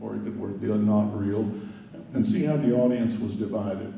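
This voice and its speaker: The speech moves at a moderate pace. There is audible room echo. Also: man. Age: 70s. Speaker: climate activist speaker. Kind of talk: conference talk.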